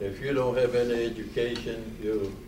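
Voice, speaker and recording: Amid noticeable background noise and audible room echo, a man at medium pitch talks at a fairly slow pace. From Poland. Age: 80s+. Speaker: Holocaust survivor speaker. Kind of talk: testimony. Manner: soft-spoken; halting.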